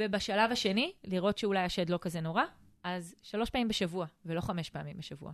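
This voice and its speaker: At a fairly quick pace, this is an unremarkable speaking voice with ordinary pitch variation. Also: woman, medium pitch for a woman. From Israel, Eilat. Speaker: family finance advisor, podcast co-host. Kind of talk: casual chat.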